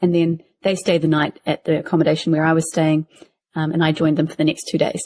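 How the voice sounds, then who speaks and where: Speaking at a very fast pace with a New Zealand accent, a woman uses a very deep, low voice and monotone, flat intonation, the sound dry and close with no echo. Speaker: podcast co-host. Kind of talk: casual chat.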